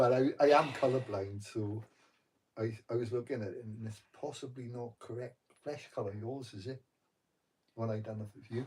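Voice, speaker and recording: A man with a medium pitch and a somewhat breathy voice speaks at a moderate pace with fairly even intonation, big swings in loudness, and long, frequent pauses. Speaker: meditation vlogger. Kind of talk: casual chat. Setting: live stream from bedroom at night. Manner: soft-spoken.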